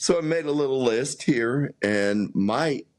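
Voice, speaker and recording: A man with a West Coast US accent and very wide pitch swings. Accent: General American, West Coast. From Southern California. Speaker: podcast co-host. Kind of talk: casual chat. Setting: home mini studio.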